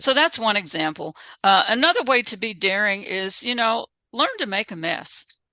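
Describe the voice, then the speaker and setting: Her voice is fairly high and bright with a sharp tone, as this woman speaks at a moderate pace with lively intonation. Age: 60s. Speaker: author and spiritual writer. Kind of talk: webinar talk. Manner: conversational.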